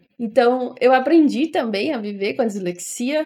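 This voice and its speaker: Her pitch sits high. This woman speaks at a fairly slow pace. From Ceará, Brazil (Fortaleza). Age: 20s. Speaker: podcaster. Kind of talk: casual monologue.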